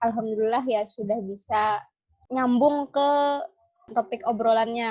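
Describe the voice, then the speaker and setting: At a fairly slow pace, a woman speaks with a fairly high pitch and fairly even intonation. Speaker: podcast co-host. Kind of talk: casual chat. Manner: halting, not very fluent.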